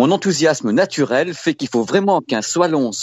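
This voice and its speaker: Moving at a moderate pace, a man with a fairly high pitch speaks in an animated tone with very wide pitch swings. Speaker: tech journalist. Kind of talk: casual chat.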